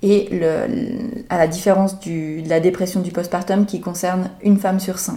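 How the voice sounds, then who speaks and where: A woman talks at a very slow pace, her pitch medium. Her intonation stays fairly even. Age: 30s. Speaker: midwife. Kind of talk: interview, expert advice.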